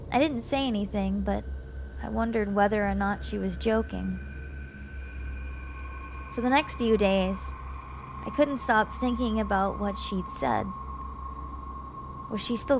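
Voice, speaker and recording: A woman speaks fairly slowly with long, frequent pauses against noticeable background noise. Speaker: streamer, VTuber. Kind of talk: scary story reading, ASMR.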